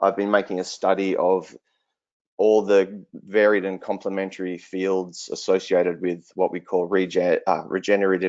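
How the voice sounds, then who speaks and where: In a very deep, low pitch, a man talks at a moderate pace with monotone, flat intonation. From southwestern Australia. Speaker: regenerative agriculture researcher. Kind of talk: online presentation.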